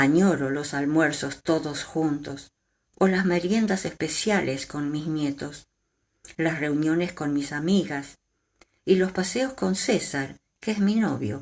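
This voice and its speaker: In a very clean recording with a silent background, a woman talks at a very slow pace with a very deep, low pitch and lively intonation. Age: 70s. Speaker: retired storyteller grandmother. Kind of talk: testimony.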